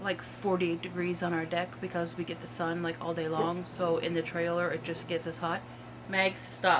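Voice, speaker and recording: With noticeable background noise behind her, a woman speaks at a moderate pace in a fairly low pitch and a monotone, flat intonation. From Nova Scotia, Canada. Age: 30s. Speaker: YouTuber. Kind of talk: casual vlog talk. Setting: at home in a mobile home.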